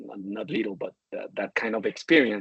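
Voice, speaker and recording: With a Spanish accent, a man delivers his words at a moderate pace. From Colombia. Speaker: supply chain executive. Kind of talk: interview. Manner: halting, many repetitions.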